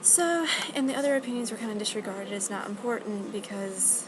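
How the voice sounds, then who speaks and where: A quiet woman mumbles at a fairly quick pace and medium pitch with ordinary pitch variation, amid audible room echo and noticeable background noise. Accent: American. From US South. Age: young. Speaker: college student. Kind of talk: video blog. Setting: library. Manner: quiet, mumbling; hesitant, many fillers.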